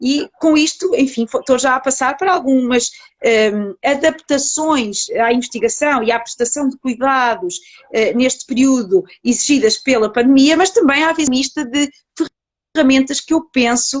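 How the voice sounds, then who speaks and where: A woman with a European Portuguese accent speaks at a high pitch and a fairly slow pace. Her loudness stays very even, with ordinary pitch variation. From Portugal. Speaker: psychologist researcher. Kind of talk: online interview. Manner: hesitant with many fillers.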